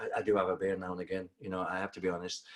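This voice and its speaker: A man with a Manchester accent. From northern England, Manchester. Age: 50s. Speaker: personal trainer and bootcamp owner. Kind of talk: interview. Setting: video call. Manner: halting.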